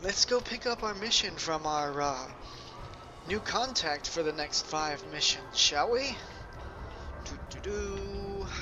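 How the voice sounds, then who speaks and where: Music sits in the background. The speech moves at a very slow pace with long, frequent pauses. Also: man. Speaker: gaming YouTuber. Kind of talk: let's play gameplay commentary. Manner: casual with many fillers.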